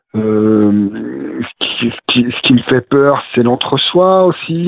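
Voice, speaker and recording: This is a man's voice. It sits at a medium pitch. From Drôme, France (Romans-sur-Isère). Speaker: novelist. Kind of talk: interview. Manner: hesitant, many fillers.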